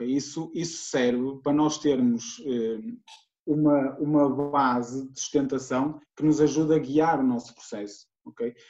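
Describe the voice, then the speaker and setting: A man's fairly high voice with a dark, mellow tone, fairly even intonation and a fairly slow pace. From Portugal, Guimarães. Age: 20s. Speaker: strength and conditioning coach. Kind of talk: podcast interview.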